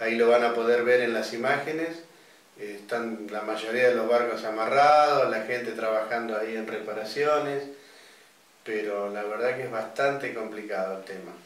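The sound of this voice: Amid strong room echo, a man talks at a moderate pace and medium pitch with ordinary pitch variation.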